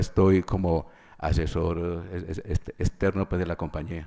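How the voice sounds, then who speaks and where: A dark, mellow tone marks this man's speech. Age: 60s. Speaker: witness, chemical engineer. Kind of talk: court testimony.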